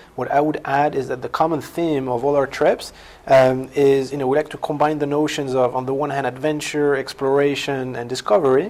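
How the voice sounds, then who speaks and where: With a French accent, a man speaks at a moderate pace in a fairly high pitch with fairly even intonation, and noticeable background noise runs underneath. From France. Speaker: company founder. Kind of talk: company introduction. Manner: halting, many fillers and repetitions.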